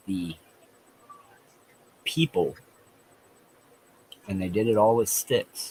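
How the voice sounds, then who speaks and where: A man speaks at a very slow pace. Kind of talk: casual chat.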